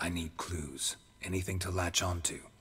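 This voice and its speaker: Over clear background noise, a man puts on a character voice with a very deep, low pitch and monotone, flat intonation. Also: moderate pace. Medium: video game. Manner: terse, dry.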